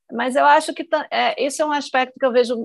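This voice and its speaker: The woman's voice has a bright, sharp tone. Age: 40s. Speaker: newspaper reporter. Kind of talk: casual chat.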